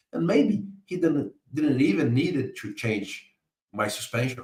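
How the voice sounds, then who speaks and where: Very wide pitch swings and a somewhat breathy quality. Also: man. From Brazil. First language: Portuguese. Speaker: book author and business analysis expert. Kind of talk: interview explanation of concepts. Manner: halting, with frequent repeated words.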